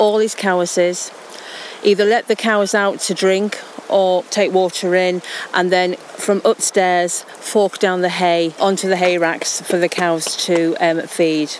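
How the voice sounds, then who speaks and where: A woman's medium-pitched voice at a fairly slow pace, with fairly even intonation, very even loudness and noticeable background noise. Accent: Yorkshire. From Yorkshire Dales, Swaledale. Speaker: local heritage guide. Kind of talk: walking tour talk. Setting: outdoors.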